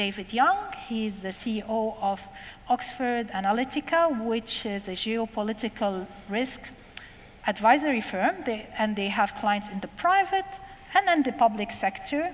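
This woman talks at a moderate pace, her intonation lively. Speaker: panel moderator. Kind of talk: panel introduction. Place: hall.

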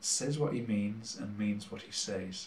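With a Cumbrian accent, a man speaks at a fairly slow pace with ordinary pitch variation. Room echo is audible. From Cumbria, England. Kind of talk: religious talk to camera. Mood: warm, encouraging. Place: kitchen. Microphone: camera far.

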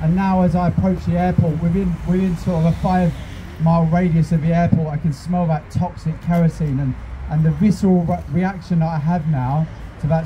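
Monotone, flat intonation carries a man's speech at a moderate pace over light background noise. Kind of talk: protest speech. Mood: earnest, personal. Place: street. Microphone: handheld.

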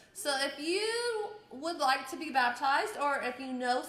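Audible room echo surrounds the voice. A woman speaks in a raised, projected voice with lively intonation. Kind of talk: church announcements. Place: church. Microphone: camera far.

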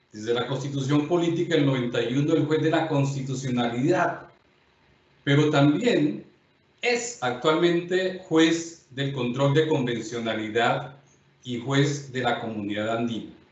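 The voice carries audible room echo. It moves at a fairly slow pace. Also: man, fairly high pitch for a man, ordinary pitch variation. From Colombia. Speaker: judge and lecturer; judge, lecturer. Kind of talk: lecture. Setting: videoconference. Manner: formal. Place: home room. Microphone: webcam.

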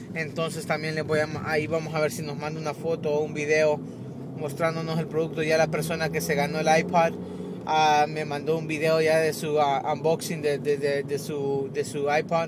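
A man's fairly high, monotone, flat delivery at a moderate pace, dry with no echo, over noticeable background noise. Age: 20s. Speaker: tech YouTuber. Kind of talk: casual vlog. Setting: in a car. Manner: halting, repetitive. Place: car. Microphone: phone near.

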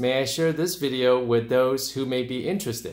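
A man speaks in a plain, everyday voice at a medium pitch with ordinary pitch variation. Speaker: urologist. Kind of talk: interviewing a patient.

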